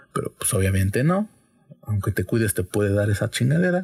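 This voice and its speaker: A man with a Mexican accent speaks at a moderate pace. His somewhat breathy voice moves through very wide pitch swings. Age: 20s. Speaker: podcast host. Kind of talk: casual chat.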